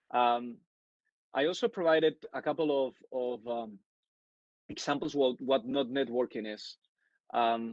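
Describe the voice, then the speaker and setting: Recorded dry and close with no echo against a quiet background, a man with a Spanish accent speaks at a fairly high pitch. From Spain, Madrid. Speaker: networking speaker. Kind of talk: webinar talk. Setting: online webinar. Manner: halting, many fillers.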